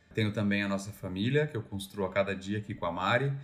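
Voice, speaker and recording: The man speaks at a very fast pace in a fairly low voice. His pitch varies in an ordinary way. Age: 30s. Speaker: podcast co-host. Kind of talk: casual chat.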